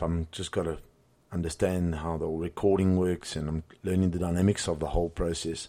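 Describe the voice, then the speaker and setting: Someone with a South African accent talks at a moderate pace in a dark, mellow tone on a very clean recording with a silent background. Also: man. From South Africa, Cape Town. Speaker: podcast host and boxing gym owner. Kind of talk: solo podcast monologue. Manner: hesitant, many fillers and repetitions.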